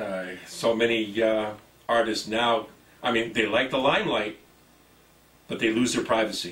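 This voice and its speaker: A man talks at a moderate pace and medium pitch, with fairly even intonation and long, frequent pauses. Noticeable background noise and audible room echo fill the recording. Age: 60s. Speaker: TV show host. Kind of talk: interview.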